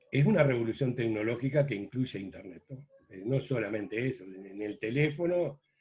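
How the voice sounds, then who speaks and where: A man's medium-pitched, somewhat breathy voice at a fairly quick pace. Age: 70s. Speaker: veteran journalist. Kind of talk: interview.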